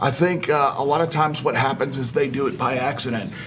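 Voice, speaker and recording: Moderate-paced speech from a man with an American accent, noticeable background noise behind him. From Chicago. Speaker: political candidate, navy veteran. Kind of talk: interview.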